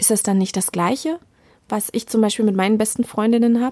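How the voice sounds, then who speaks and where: A woman speaks in a dark, mellow tone. The sound is dry and close, with no echo. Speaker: podcast host. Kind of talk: interview conversation. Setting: home of guests. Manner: animated.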